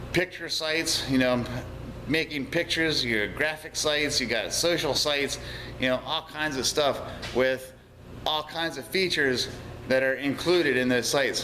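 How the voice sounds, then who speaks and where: A man with a fairly high pitch and fairly even intonation at a moderate pace, over noticeable background noise. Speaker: auto repair business owner and vlogger. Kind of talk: video blog monologue. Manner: hesitant, repeats words.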